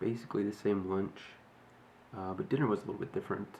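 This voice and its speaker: Soft-spoken and fairly low-pitched, a man talks with ordinary pitch variation amid noticeable background noise. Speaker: fitness vlogger. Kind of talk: casual video diary. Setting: at home early morning. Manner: quiet, soft-spoken; halting, many fillers.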